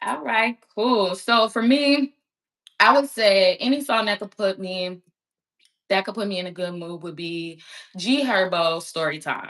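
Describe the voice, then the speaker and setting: Using a plain, everyday voice, a woman with an American accent speaks at a fairly slow pace in a medium pitch, with lively intonation and big swings in loudness. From Chicago east side. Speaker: podcast host. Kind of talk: interview. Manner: casual.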